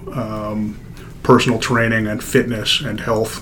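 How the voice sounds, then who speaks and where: A man speaks at a fairly slow pace in a flat, monotone delivery at a medium pitch, with noticeable background noise and audible room echo. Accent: American. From Denver, Colorado. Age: 30s. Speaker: orthopaedic surgeon. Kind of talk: casual interview.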